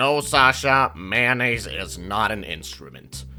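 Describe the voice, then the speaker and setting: Over faint music in the background, a man puts on a character voice, fairly low in pitch and at a fairly slow pace. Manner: deliberately poor cartoon-style impression.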